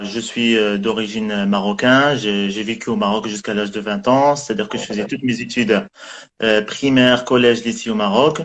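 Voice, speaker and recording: Medium pitch and a moderate pace from a man with a plain, everyday voice, the intonation fairly even. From Morocco (Tangier). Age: 20s. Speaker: guest. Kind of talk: casual chat.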